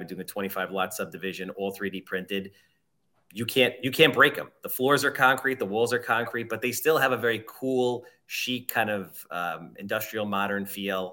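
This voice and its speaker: With a bright, sharp tone and big swings in loudness, the voice moves at a fairly quick pace with ordinary pitch variation on a very clean recording with a silent background. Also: man. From Long Island. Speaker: real estate agent.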